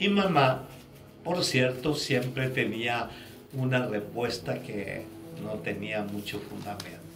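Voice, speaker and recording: Over music in the background, a man talks at a very slow pace with lively intonation. Room echo is audible. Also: medium pitch for a man. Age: 60s. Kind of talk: sermon-style testimony. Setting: studio. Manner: frequent tag questions.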